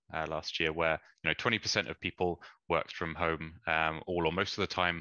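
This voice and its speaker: Very deep, low-pitched man's voice in a British accent, fairly quick in pace and monotone, with flat intonation. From England. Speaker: energy consultant. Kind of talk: conference presentation. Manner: hesitant, many fillers.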